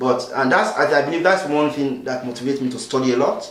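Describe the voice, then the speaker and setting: Noticeable background noise and audible room echo fill the recording. A man speaks at a moderate pace. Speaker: refugee volunteer interviewee. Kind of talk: interview testimony. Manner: hesitant, many fillers.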